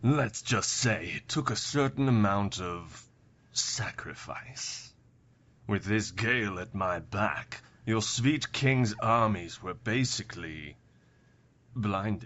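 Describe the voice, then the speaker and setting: A man uses a put-on character voice at a fairly low pitch. He goes at a fairly slow pace, with ordinary pitch variation. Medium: audio drama. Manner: silky, sardonic.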